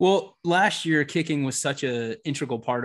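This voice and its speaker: A man talks in an ordinary speaking voice at a fairly slow pace with ordinary pitch variation. The background is quiet. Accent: American. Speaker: podcast co-host. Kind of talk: casual interview chat.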